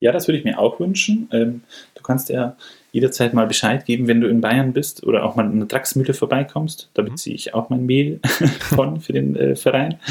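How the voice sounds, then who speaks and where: A man speaks with ordinary pitch variation. He has a plain, everyday voice. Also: medium pitch for a man, moderate pace. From Bavaria, northern Munich area. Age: 30s. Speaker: baker apprentice. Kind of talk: casual interview chat.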